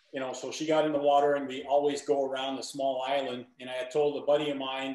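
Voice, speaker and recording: A man with a medium-pitched voice talks very fast in a monotone, flat delivery. Audible room echo and noticeable background noise fill the recording. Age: 60s. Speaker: triathlete. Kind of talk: casual chat.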